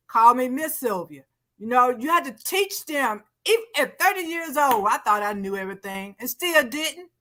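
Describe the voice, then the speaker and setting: Her voice is raised and projected, high-pitched with a bright, sharp tone, swinging very widely in pitch as this woman speaks at a moderate pace. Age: 60s. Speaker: TV talk show co-host. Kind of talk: casual panel discussion.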